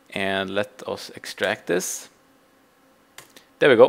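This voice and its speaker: Man with a non-native accent at a fairly slow pace. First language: Swedish. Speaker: game server admin. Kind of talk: tutorial. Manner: halting.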